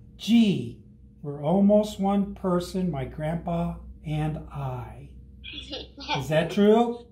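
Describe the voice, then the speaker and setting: A man at a very slow pace, with long, frequent pauses and audible room echo. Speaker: fire rescue operations chief and grandfather. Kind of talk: children's story read-aloud over video call. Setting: video call from home. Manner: warm, friendly, conversational. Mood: warm, gentle. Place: meeting room. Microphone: camera far.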